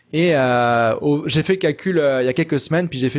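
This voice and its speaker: A man with a normal speaking voice, pitched fairly high, talks at a moderate pace on a very clean recording with a silent background. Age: 20s. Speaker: web entrepreneur and consultant. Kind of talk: casual interview chat.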